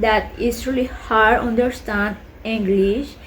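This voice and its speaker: Speaking fairly slowly in a Colombian accent, a woman has a fairly high, somewhat breathy voice with ordinary pitch variation. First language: Spanish. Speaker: vlogger. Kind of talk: casual vlog talk. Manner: halting, many fillers.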